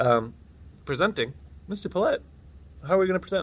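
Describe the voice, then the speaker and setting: A man's voice with lively intonation and vocal fry. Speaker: teacher. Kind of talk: lecture. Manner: casual; halting.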